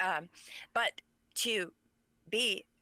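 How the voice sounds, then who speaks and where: The voice is a woman's, dry and close with no echo. The recording is very clean, with a silent background. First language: Pennsylvania Dutch. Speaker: author. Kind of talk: interview.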